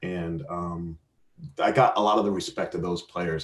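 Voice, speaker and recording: A man's very deep, low voice with an American accent, at a moderate pace and with fairly even intonation. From Arizona, US. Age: 40s. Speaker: soccer referee. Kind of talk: interview. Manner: halting, many repetitions.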